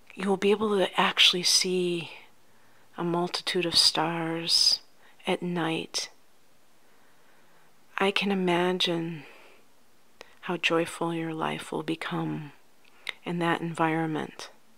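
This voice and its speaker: Fairly low, soft-spoken female voice, bright and sharp yet gentle and soothing in tone, monotone and flat, at a very slow pace with long, frequent pauses. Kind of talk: ASMR life coach roleplay, softly spoken. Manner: soft-spoken, gentle, soothing.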